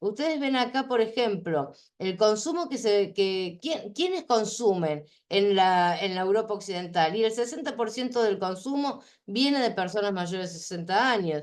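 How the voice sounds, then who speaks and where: In a plain, everyday voice, a woman speaks at a moderate pace and medium pitch with lively intonation. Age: 60s. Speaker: conference speaker on aging. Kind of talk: conference talk. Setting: online conference.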